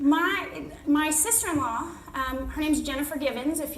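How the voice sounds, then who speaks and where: Female speech in an American accent, with audible room echo and noticeable background noise. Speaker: network marketing director. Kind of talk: motivational talk. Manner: fast.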